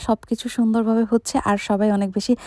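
Her voice fairly high, a woman is heard in a very clean recording with a silent background and a dry, close sound with no echo. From Bangladesh, Munshiganj. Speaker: vlogger. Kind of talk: voiceover narration of a family video. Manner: casual, code-switching with English.

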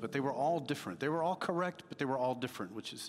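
A man talks with clear music in the background. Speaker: preacher. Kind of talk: sermon. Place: church. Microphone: headset.

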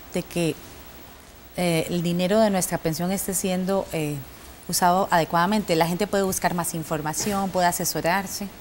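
A woman speaks at a moderate pace with ordinary pitch variation. Light noise sits in the background. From Costa Rica. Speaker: TV presenter. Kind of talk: TV panel moderation. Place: studio. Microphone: lapel.

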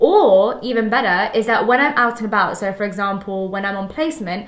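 In a room with audible echo but a quiet background, a woman talks at a very fast pace with ordinary pitch variation. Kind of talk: casual vlog chat. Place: home room. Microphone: phone near.

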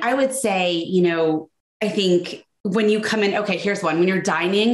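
The speaker has an American accent. There is audible room echo over a quiet background. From United States. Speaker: etiquette expert. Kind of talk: interview. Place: home room. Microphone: video call.

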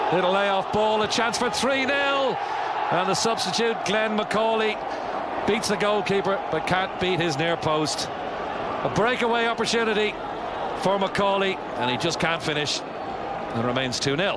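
Loud background noise accompanies fairly slow speech in a dry sound with no echo. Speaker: football commentator. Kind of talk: live football match commentary over highlights. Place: stadium.

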